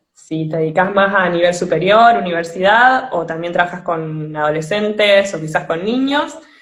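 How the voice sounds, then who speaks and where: A woman with an Argentine accent speaks in a fairly low pitch at a moderate pace. She hardly pauses, and the room echo is audible. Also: ordinary pitch variation. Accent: Argentine Spanish (voseo). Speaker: podcast host. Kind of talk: live-streamed interview. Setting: online live stream.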